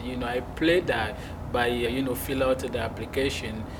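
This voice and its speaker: There is noticeable background noise and audible room echo as a man speaks at a medium pitch with ordinary pitch variation. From Togo. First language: French. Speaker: exporter and business owner. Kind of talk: interview. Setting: conference.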